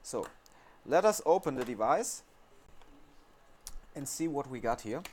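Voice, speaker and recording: With a German accent, a man speaks fairly slowly in a fairly high voice, with very wide pitch swings and big swings in loudness. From Germany. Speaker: phone repair technician. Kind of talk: tutorial. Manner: halting, with many fillers.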